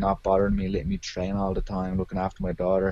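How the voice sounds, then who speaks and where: Talking at a very fast pace, a man with an Irish accent has a very deep, low pitch and a dark, mellow tone. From Ireland, Arklow (County Wicklow). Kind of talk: interview.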